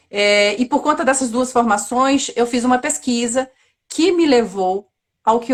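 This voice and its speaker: With a Bahian accent, a woman talks at a fairly slow pace, her fairly high voice showing ordinary pitch variation. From Bahia, Brazil. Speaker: actress and theatre institute director. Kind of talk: casual chat.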